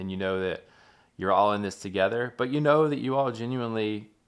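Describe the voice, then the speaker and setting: A man's normal speaking voice at a medium pitch with ordinary pitch variation. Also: very clean recording, silent background. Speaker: interviewer, storytelling series host. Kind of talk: interview question.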